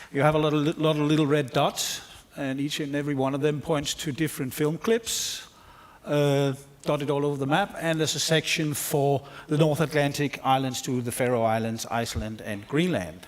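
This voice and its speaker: A man with a Danish accent speaks in a fairly high voice. His pitch moves in an ordinary way over noticeable background noise. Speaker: film researcher. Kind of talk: conference presentation.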